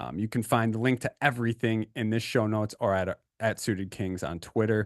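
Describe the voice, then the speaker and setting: The speaker uses an energetic tone at a fairly quick pace with ordinary pitch variation, the sound dry and close with no echo over a quiet background. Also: man. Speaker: poker podcast host. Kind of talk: casual podcast chat.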